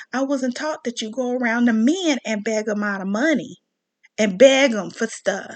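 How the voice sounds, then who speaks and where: With an American accent, a woman talks in an animated tone at a high pitch, using ordinary pitch variation and a moderate pace. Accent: Southern US, thicker when riled up. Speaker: commentary vlogger. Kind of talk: rant monologue.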